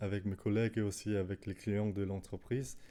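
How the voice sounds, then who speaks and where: The voice has a dark, mellow tone, a non-native accent and monotone, flat intonation. The recording is very clean over a silent background. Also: man. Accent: non-native French, makes errors. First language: Danish (speaking French). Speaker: language learner YouTuber. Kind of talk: casual talk to camera. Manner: halting, many fillers.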